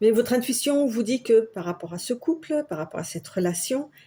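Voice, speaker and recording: Somewhat breathy with a dark, mellow tone, a woman speaks fairly quickly at a fairly high pitch, her intonation lively. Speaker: tarot card reader. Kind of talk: tarot reading. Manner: halting.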